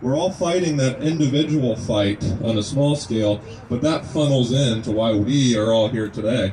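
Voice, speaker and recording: Noticeable background noise under a man's medium-pitched voice. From Kentucky. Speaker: naturopathic medicine student, speaker at a rally. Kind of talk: speech to a gathering. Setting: outdoors at a rest stop.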